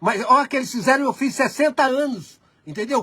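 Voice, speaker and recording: A man with an extremely high pitch and a bright, sharp tone talks at a moderate pace with ordinary pitch variation. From Brazil. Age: 60s. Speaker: video chat host. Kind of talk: casual chat. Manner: halting, many false starts.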